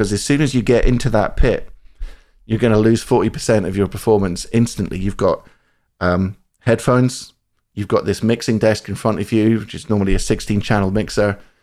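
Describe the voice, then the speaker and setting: A man with a Scottish accent, fairly low pitch and a fairly quick pace. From central Scotland. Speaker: saxophonist. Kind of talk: interview. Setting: video call. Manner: animated, laughing often.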